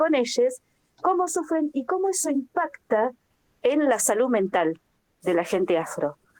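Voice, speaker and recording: A woman's high voice swings very widely in pitch at a fairly slow pace, the sound dry and close with no echo. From Argentina. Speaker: workshop participant, researcher. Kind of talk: group discussion contribution.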